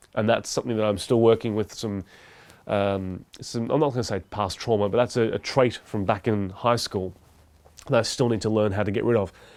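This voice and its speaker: Over a silent background in a very clean recording, a man with a fairly low pitch speaks at a fairly quick pace with fairly even intonation. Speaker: podcast host and YouTuber. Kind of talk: solo talk to camera. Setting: talking to a camera. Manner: speaks fast when nervous.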